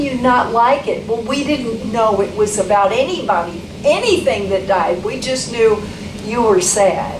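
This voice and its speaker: A woman speaks with ordinary pitch variation. Noticeable background noise and audible room echo fill the recording. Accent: American. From Texas. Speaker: songwriter leading a workshop. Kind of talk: workshop talk. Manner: animated.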